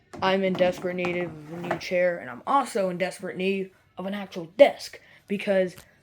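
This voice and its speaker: Over noticeable background noise, a woman speaks at a fairly quick pace, her medium pitch showing ordinary variation. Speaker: YouTuber. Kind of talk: casual vlog room tour. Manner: casual, hesitant with fillers.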